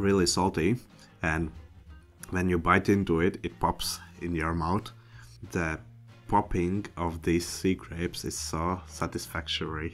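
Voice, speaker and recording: Faint music plays behind a man with a very deep, low pitch who speaks at a fairly slow pace with fairly even intonation and long, frequent pauses. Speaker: food reviewer. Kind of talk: casual vlog chat. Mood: cheerful, playful. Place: home room. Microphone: studio mic.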